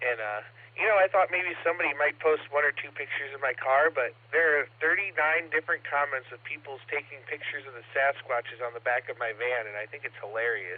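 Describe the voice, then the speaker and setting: An ordinary speaking voice from a man with an American accent, fairly high-pitched with ordinary pitch variation, fairly quick with hardly any pauses, and big swings in loudness. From Ohio, US. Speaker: amateur radio operator. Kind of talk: casual chat.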